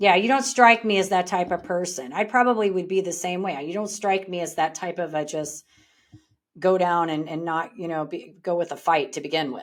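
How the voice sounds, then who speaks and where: With an American accent, a woman talks at a moderate pace in an unremarkable speaking voice, fairly low-pitched and with ordinary pitch variation. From Texas panhandle. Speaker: podcast host. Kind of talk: interview.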